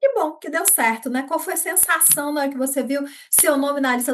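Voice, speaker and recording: A woman's high-pitched voice moves at a moderate pace, its pitch varying in an ordinary way. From Brazil, Minas Gerais. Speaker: interviewer. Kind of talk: interview.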